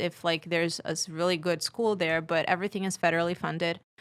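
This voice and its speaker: A woman with a Portuguese accent talks at a fairly quick pace. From Brazil. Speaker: podcast guest. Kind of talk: casual chat.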